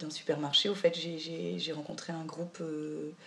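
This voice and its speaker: Speaking with fairly even intonation, a woman has a fairly low pitch. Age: 30s. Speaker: volunteer with migrant aid association. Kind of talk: documentary interview. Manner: halting, many hesitations.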